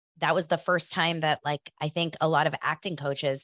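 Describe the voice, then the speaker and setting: A woman with an American accent speaks at a moderate pace in an energetic, animated tone. The recording is very clean, with a silent background and a dry, close sound with no echo. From US West Coast, Los Angeles. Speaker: business coach, former casting director. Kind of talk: interview, casual chat.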